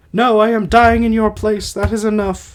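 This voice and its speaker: The man puts on a character voice pitched high. He keeps a moderate pace. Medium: read story. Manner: soft, resigned.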